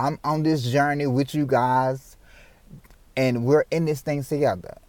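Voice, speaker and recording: In a very clean recording with a silent background, a man at medium pitch speaks in an animated tone. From Memphis, Tennessee (US South). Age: 30s. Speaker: podcast host and motivational speaker. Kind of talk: motivational podcast monologue.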